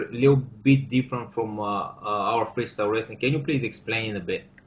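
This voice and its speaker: With a Bulgarian accent, a man talks at a moderate pace. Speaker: podcast host. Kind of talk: interview. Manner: halting.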